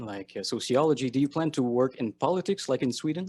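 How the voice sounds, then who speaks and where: With a French Canadian accent, a man speaks at a medium pitch and a moderate pace. His intonation is lively, and the sound is dry and close with no echo. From Quebec. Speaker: interviewer. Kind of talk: interview.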